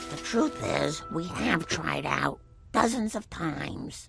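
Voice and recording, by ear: With clear music playing behind it, a female-sounding cartoonish character voice speaks at a fairly slow pace.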